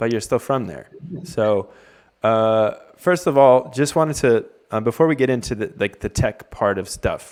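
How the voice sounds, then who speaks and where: With a North American accent, a man speaks in an ordinary speaking voice at a medium pitch, with ordinary pitch variation and a moderate pace. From US, Cleveland, Ohio. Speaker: webinar host. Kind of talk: panel discussion.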